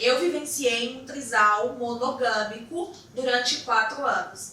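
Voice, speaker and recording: With a Brasília accent, a woman speaks at a very slow pace and a high pitch over noticeable background noise. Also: ordinary pitch variation. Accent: Brazilian Portuguese, Brasília. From Brazil, Brasília (Ceilândia). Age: 30s. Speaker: therapist and influencer. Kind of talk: podcast interview.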